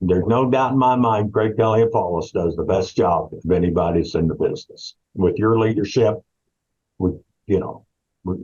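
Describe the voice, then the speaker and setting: Fairly low in pitch and somewhat breathy, a man talks at a fairly quick pace with a dark, mellow tone and ordinary pitch variation. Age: 70s. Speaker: investigator retiring from a law firm. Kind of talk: casual interview.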